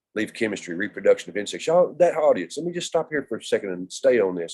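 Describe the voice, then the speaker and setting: In a Texan accent, the speaker has a dark, mellow tone with vocal fry and very wide pitch swings. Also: man. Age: 60s. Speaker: native plant instructor. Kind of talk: lecture. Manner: animated.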